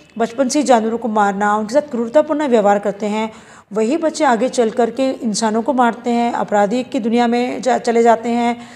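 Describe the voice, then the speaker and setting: Against noticeable background noise, a woman speaks at a high pitch and a moderate pace with ordinary pitch variation. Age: 50s. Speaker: animal welfare activist. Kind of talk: news interview.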